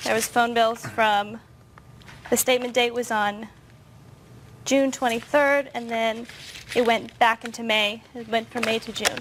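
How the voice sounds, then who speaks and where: Speaking in a fairly high pitch with monotone, flat intonation, a woman moves at a fairly slow pace with long, frequent pauses. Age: 20s. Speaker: plaintiff in small claims court. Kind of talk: courtroom testimony. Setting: courtroom. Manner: hesitant.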